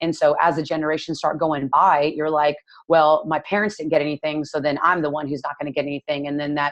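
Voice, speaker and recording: Speaking at a fairly quick pace with a Texan accent, a woman uses a very deep, low voice in a monotone, flat intonation. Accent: Texan American English. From Texas, Dallas. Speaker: nutrition coach. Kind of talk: casual interview chat.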